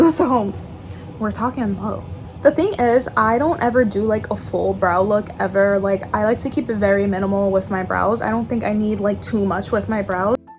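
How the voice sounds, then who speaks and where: Music plays in the background as a woman speaks at a moderate pace. Her voice sits at medium pitch with ordinary pitch variation. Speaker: beauty vlogger. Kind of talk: makeup tutorial. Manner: casual, chatty.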